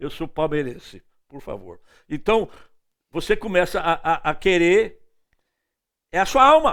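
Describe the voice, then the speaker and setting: The recording is very clean, with a silent background. A man speaks at a fairly slow pace, his pitch making very wide swings. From northeastern Brazil, Recife. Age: 70s. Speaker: evangelist preacher. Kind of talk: sermon.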